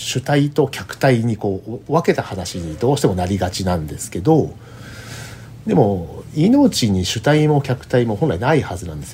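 A man at a moderate pace with very wide pitch swings, big swings in loudness and noticeable background noise. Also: medium pitch for a man. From Japan, Kanagawa. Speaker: polar explorer. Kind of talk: interview. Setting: remote call.

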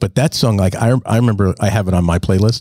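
In a dry, close sound with no echo, a man with an American accent talks at a fairly quick pace, his fairly low pitch varying in ordinary ways and his tone dark and mellow. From New Jersey. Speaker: podcast co-host, comedian. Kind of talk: casual chat. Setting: studio.

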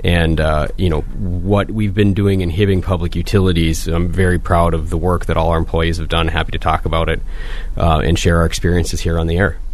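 With an Upper Midwest accent, a man speaks at a fairly quick pace with a very deep, low pitch, monotone, flat intonation and very even loudness, over noticeable background noise and audible room echo. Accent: Upper Midwest (Minnesota). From Minnesota (Proctor). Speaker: public utilities general manager. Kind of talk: radio interview. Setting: radio studio.

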